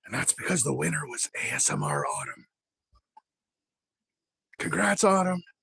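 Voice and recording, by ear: A raspy, whispering, put-on character voice at a moderate pace, broken by long, frequent pauses.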